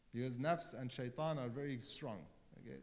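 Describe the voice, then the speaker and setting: With a non-native accent and a medium pitch, a man speaks at a moderate pace with ordinary pitch variation and audible room echo. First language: not English. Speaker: cleric. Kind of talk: sermon.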